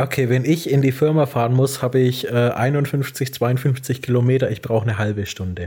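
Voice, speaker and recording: Speaking at a moderate pace with hardly any pauses, a man uses a medium-pitched, somewhat breathy voice with a dark, mellow tone. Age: 20s. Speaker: podcast co-host. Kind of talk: casual chat. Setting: evening recording. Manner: hesitant, many fillers.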